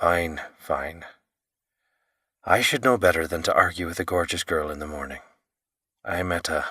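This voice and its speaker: Putting on a growling, gravelly character voice at a very deep, low pitch, a man speaks at a moderate pace broken by long, frequent pauses. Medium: read story. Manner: teasing, flirtatious.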